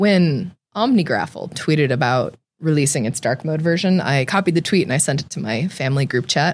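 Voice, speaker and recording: A woman's very deep, low voice with a Californian accent, lively intonation and a fairly quick pace, in a very clean recording with a silent background. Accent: Californian American. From California, Central Valley (Tracy). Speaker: software engineer. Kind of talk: casual interview chat. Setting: studio.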